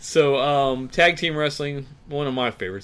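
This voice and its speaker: A man with a medium pitch speaks at a moderate pace in a plain, everyday voice. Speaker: podcast host. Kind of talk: casual chat.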